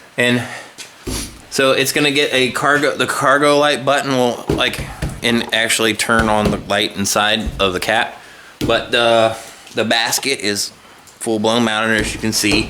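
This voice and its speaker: Man with an American accent, medium pitch, very even loudness, fairly slow pace and fairly even intonation, with noticeable background noise and audible room echo. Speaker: car customizing vlogger. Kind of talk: casual vlog walkthrough. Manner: casual, halting with fillers.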